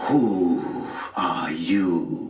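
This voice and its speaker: Growling and hissing, a man puts on a character voice. Clear echo surrounds it. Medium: read story.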